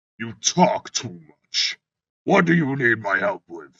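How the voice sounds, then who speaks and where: A man's put-on character voice, growling at a medium pitch, fairly slow, with very wide pitch swings and big swings in loudness. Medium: read story. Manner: proud, commanding.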